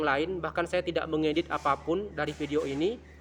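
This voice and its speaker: A loud male voice with ordinary pitch variation. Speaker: vlogger. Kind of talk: casual vlog monologue. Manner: halting, many fillers; loud, projected.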